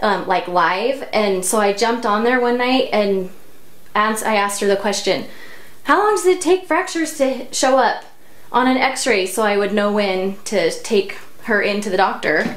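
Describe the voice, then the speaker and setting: A woman's fairly high voice with a Utah accent, lively intonation, very even loudness and a moderate pace, with audible room echo. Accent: Utah American English. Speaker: hair tutorial vlogger. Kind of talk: tutorial. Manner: casual, chatty.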